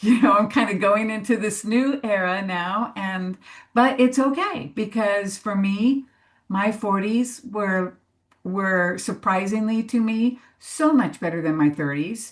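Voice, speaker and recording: Somewhat breathy and fairly slow, a woman talks at a fairly high pitch with ordinary pitch variation over a quiet background. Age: 60s. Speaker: panelist on crone archetype in death work. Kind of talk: panel discussion. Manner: halting.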